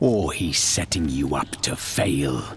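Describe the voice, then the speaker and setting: Growling in a put-on character voice, a man speaks with a very deep, low pitch at a fairly slow pace. Clear background noise is present. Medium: video game. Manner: terse.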